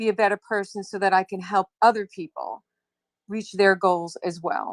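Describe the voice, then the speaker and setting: The woman has an unremarkable speaking voice at a medium pitch, with fairly even intonation and a moderate pace. Her sound is dry and close, with no echo, over a quiet background. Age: 60s. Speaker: wellness coach. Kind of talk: interview.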